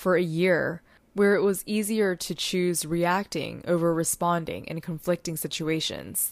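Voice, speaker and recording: A woman speaks at a moderate pace with a fairly low pitch and ordinary pitch variation, a normal speaking voice. The recording is very clean, with a silent background. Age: 20s. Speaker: podcast host and social media strategist. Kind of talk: solo podcast monologue.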